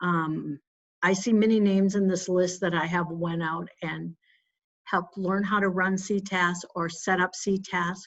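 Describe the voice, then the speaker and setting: A woman with an unremarkable speaking voice talks fairly slowly at a fairly low pitch, her intonation fairly even. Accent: American. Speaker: municipal finance trainer. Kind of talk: webinar presentation. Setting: online webinar.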